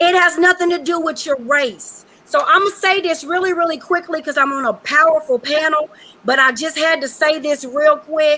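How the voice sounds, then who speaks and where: A woman's raised, projected voice, high-pitched and animated, with ordinary pitch variation at a moderate pace. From Western Kentucky, rural. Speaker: educator, panelist. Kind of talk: panel discussion.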